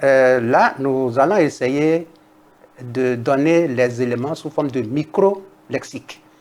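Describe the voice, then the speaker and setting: With a Togolese accent, a man speaks at a very slow pace and a medium pitch. Noticeable background noise can be heard. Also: ordinary pitch variation. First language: Kabye (speaking French). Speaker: linguist, university professor. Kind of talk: TV interview. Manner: formal.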